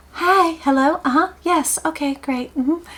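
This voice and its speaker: This put-on character voice sounds female. Its pitch is extremely high. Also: moderate pace. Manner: sweet, polite, chirpy.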